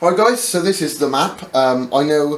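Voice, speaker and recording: Over noticeable background noise, a man with a fairly high pitch speaks at a moderate pace with ordinary pitch variation. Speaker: YouTube prepper and bushcraft vlogger. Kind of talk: casual vlog announcement. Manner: hesitant, many fillers.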